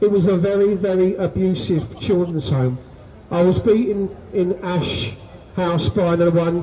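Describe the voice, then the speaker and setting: A man with a London accent speaks in a high voice with ordinary pitch variation over noticeable background noise. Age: 60s. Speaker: abuse survivor speaking at a rally. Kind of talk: testimony.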